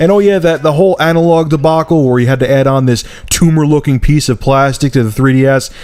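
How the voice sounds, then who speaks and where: Noticeable background noise accompanies a man speaking at a fairly quick speed. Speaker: tech and gaming video reviewer. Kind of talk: opinion rant. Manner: animated, exasperated.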